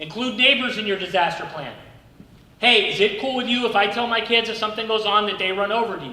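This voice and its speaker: Amid noticeable background noise and audible room echo, a man uses a raised, projected voice at a fairly quick pace. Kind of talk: training presentation. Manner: loud; fast.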